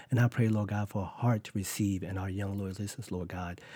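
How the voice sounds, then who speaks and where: A man's dark, mellow voice at a very fast pace, in a very clean recording with a silent background. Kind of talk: fervent prayer. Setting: studio. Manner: impassioned, rhythmic, repeating 'Lord God' as a refrain.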